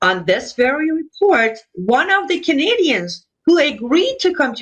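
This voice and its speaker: The voice carries an Iranian accent. Its pitch swings very widely. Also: woman. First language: Persian. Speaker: Iranian dissident broadcaster. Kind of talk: political interview.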